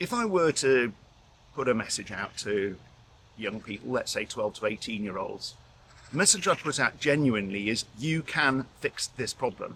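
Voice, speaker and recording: In a British accent, a man speaks at a moderate pace with a bright, sharp tone and lively intonation. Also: medium pitch for a man. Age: 60s. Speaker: intensive care doctor and professor. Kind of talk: interview.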